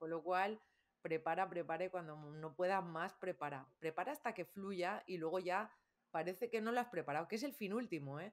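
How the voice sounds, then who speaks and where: A woman speaks in a plain, everyday voice at a moderate pace, fairly low in pitch with ordinary pitch variation. Her loudness swings widely. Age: 50s. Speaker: communication coach and trainer. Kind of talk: interview.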